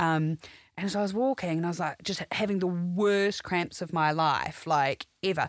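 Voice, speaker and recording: Fairly low-pitched woman with a New Zealand accent, moderate pace and ordinary pitch variation, on a very clean recording with a silent background and a dry, close sound with no echo. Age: 30s. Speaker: complaint specialist. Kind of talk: casual chat.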